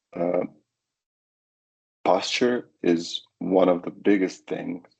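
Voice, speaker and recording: Very deep and low in pitch, a man speaks at a very slow pace. His intonation stays fairly even. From Croatia. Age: 30s. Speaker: para-athlete, sitting volleyball player. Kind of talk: webinar presentation. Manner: halting.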